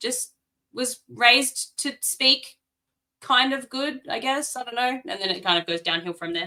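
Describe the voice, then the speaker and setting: A woman with an Australian accent speaks fairly slowly, her high voice bright and sharp in tone with lively intonation. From South Australia, Adelaide. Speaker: author. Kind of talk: casual chat.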